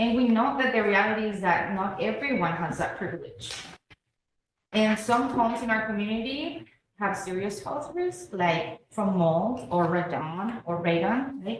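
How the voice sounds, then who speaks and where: A woman with a Spanish accent talks at a moderate pace, her fairly high pitch carried by lively intonation. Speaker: public health educator. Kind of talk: community presentation. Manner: hesitant, many fillers.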